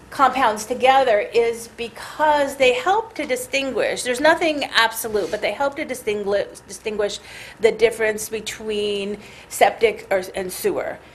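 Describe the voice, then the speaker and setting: A woman with a fairly high pitch and ordinary pitch variation talks at a moderate pace as noticeable background noise plays behind her. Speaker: scientist presenting research. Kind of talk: technical presentation. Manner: halting, many fillers and restarts.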